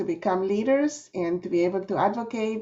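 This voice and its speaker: A woman is speaking. She has a Spanish accent. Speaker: nonprofit executive director. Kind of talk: panel introduction.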